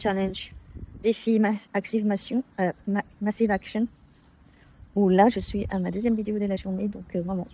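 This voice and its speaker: A soft-spoken woman talks in a dark, mellow tone. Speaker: consultant and self-improvement vlogger. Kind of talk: personal vlog monologue. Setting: outdoors on a work campus. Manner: hesitant, many fillers.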